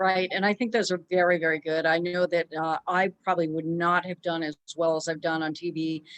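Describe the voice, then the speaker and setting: The speech moves at a fairly quick pace with a dry, close sound and no echo. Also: woman. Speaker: interviewer, financial advisor. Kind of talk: interview. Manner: fast.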